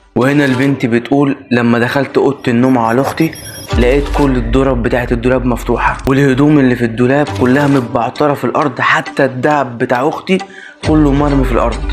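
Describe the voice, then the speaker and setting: Over music in the background, a man speaks at a fairly quick pace with a medium pitch, fairly even intonation and very even loudness. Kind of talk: horror story narration.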